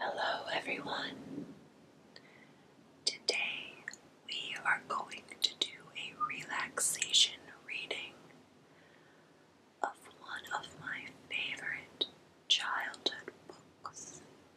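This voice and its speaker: A woman whispers at a very slow pace with long, frequent pauses and big swings in loudness, noticeable background noise behind her. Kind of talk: ASMR book reading. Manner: whispered.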